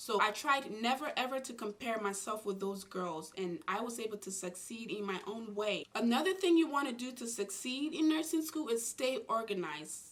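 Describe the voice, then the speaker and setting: Against noticeable background noise, a woman with a non-native accent and a fairly high pitch speaks at a moderate pace with very wide pitch swings. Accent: foreign-born, non-native English. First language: not English. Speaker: nurse and YouTuber. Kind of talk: advice vlog.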